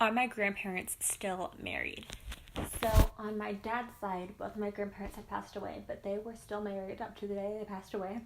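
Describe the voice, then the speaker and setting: Over noticeable background noise, a woman with an American accent talks at a fairly quick pace in a medium pitch with monotone, flat intonation. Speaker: YouTuber. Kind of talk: casual Q&A vlog.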